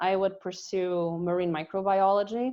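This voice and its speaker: A woman talks with a Portuguese accent. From Portugal. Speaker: marine biologist. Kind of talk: podcast interview. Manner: halting.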